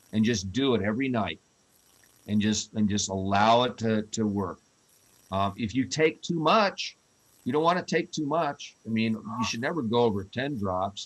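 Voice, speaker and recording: A man with a normal speaking voice, medium pitch, and a moderate pace. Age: 60s. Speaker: CBD company representative. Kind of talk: question and answer session.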